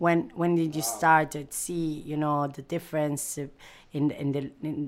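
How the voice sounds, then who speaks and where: Speaking with an East African accent, a woman with a very deep, low pitch keeps fairly even intonation at a moderate pace on a very clean recording with a silent background. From Italy (Milan), Eritrean heritage. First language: not English. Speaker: podcast interviewer. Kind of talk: casual conversation. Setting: bookshop bistro. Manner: halting.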